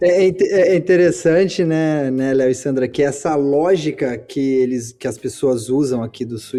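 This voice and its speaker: Music in the background behind a man with a fairly high pitch, speaking at a moderate pace with ordinary pitch variation and hardly any pauses. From Brazil, Campinas. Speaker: podcast host. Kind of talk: casual chat.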